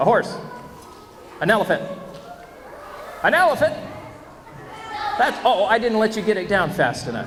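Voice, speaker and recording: An animated man with an American accent and high pitch, lively intonation, a moderate pace and long, frequent pauses, amid noticeable background noise and audible room echo. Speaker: school assembly presenter, former radio journalist. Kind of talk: school assembly talk to children. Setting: school assembly with children.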